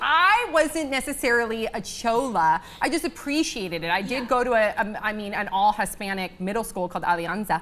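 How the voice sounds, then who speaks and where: Speaking at a fairly quick pace with hardly any pauses, a woman swings her pitch very widely. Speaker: show host. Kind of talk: casual talk show chat. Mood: playful, laughing. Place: studio. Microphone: lapel.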